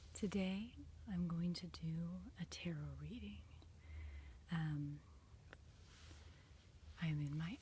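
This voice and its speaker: The voice is soft-spoken. It moves at a very slow pace. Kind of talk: ASMR tarot reading. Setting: indoors, attic room.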